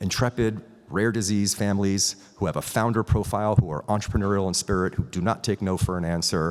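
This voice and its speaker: Over a silent background in a very clean recording, a man speaks in a fairly low pitch. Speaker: biotech company founder and CEO. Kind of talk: conference talk. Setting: stage with audience. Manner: fast.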